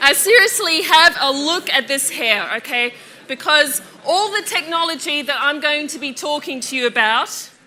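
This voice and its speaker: Over noticeable background noise, a woman with a high pitch projects a raised voice at a moderate pace with lively intonation. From Australia. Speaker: physics lecturer. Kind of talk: public lecture. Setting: lecture theatre with audience. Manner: animated.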